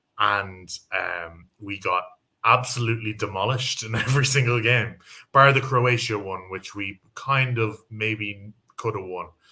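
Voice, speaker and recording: A man's medium-pitched voice, bright and sharp in tone, moves at a fairly slow pace with fairly even intonation. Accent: Irish. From Ireland. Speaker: football pundit. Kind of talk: casual chat.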